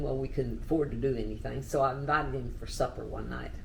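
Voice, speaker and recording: A woman with a Texan accent talks at a very fast pace. Audible room echo and noticeable background noise surround her voice. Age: 80s+. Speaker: oral history interviewee. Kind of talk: oral history interview.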